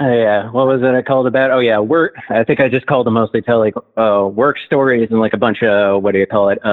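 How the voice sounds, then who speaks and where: At a fairly quick pace, a man talks in a normal speaking voice at medium pitch with fairly even intonation. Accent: American. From New Jersey. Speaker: caller. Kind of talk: phone-in chat. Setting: phone call.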